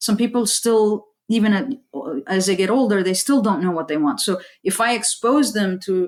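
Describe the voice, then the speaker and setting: Delivered at a moderate pace, this is a plain, everyday voice. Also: woman. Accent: American. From US, Saudi parents. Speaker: aerospace engineer and STEM educator. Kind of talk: interview.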